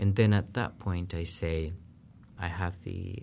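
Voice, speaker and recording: This very clean recording, with a silent background, features a man speaking with a Spanish accent. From Peru. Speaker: professor. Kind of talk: interview.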